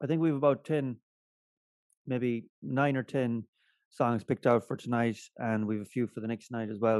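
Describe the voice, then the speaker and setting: In an Irish accent, a man talks at a fairly quick pace with a dry, close sound, no echo and a quiet background. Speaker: podcast co-host. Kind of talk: casual chat. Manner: loud.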